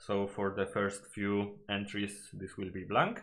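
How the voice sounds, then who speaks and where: A man with a Polish accent speaks at a fairly low pitch. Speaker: gaming YouTuber. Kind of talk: video analysis commentary. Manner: halting, many fillers and self-corrections.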